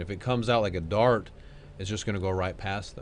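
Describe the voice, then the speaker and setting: A man talks in a normal speaking voice at a fairly low pitch. His intonation stays fairly even. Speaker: mortgage loan officer and channel host. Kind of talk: casual interview chat.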